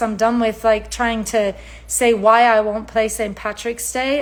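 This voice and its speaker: A woman with an Irish accent, fairly high-pitched, speaking at a fairly slow pace with fairly even intonation. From Ireland. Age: 40s. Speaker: singer-songwriter. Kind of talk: livestream monologue.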